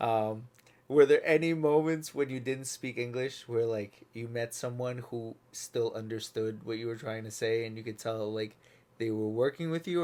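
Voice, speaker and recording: On a very clean recording with a silent background, a man talks at a moderate pace and medium pitch with ordinary pitch variation. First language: non-English, learned English through ESL. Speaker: podcast host. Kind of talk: podcast interview.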